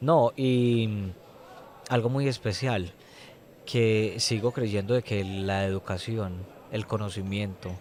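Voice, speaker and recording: A very slow pace with fairly even intonation and long, frequent pauses. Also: man, fairly low pitch for a man. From Colombia, Medellín. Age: young. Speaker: prison inmate and former teacher. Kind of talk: testimony interview.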